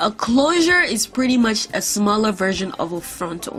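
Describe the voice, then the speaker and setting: A woman's fairly high voice with a non-native accent, music in the background. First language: not English. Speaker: wig-making video creator. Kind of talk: tutorial voiceover. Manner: casual.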